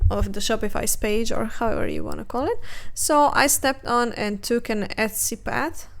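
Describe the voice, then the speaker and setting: A woman with a non-native accent at a moderate pace. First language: not English. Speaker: art youtuber. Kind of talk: casual chat while drawing. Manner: hesitant, many fillers.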